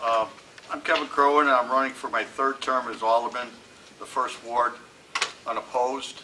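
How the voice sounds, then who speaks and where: A man with a medium-pitched voice and ordinary pitch variation speaks over noticeable background noise. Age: 60s. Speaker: city council member. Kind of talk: candidate statement at public forum.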